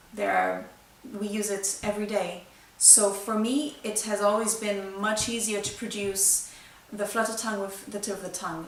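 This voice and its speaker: Amid noticeable background noise and audible room echo, a woman with a Brazilian accent speaks at a medium pitch and a fairly slow pace. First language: Brazilian Portuguese. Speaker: flutist. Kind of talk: tutorial. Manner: halting.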